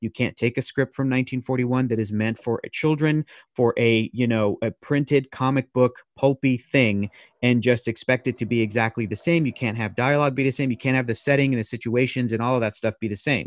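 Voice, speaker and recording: A man with an unremarkable speaking voice talks at medium pitch and a fairly quick pace with fairly even intonation. The sound is dry and close with no echo, over a quiet background. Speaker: former comics show host. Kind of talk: casual chat.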